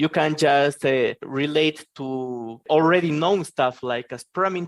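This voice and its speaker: A man with a non-native accent in a dry, close sound with no echo. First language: not English. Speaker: software engineer. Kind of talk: interview. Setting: podcast interview. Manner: hesitant, many fillers.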